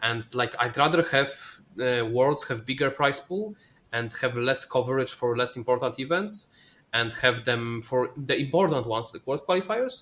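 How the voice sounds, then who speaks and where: Someone with a non-native accent speaks at a moderate pace with ordinary pitch variation. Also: man, medium pitch for a man. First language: not English. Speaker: esports player and caster. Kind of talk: casual chat. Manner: halting.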